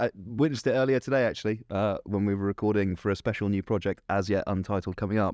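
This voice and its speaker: A man's put-on character voice, raspy and fairly low-pitched, at a very fast pace with fairly even intonation, dry and close with no echo, over a quiet background. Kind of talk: conversational podcast.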